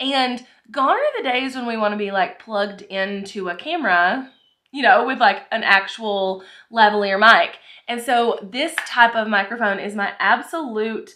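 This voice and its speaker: Against a quiet background, a woman with a bright, sharp tone speaks with ordinary pitch variation. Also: moderate pace. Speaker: content creator. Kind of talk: casual vlog chat. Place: office. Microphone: phone near.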